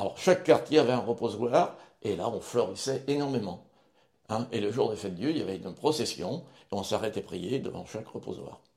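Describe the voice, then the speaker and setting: Dark, mellow tone with lively intonation, a fairly quick pace and big swings in loudness. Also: man, medium pitch for a man. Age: 70s. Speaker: retired driving instructor. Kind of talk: interview. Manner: halting.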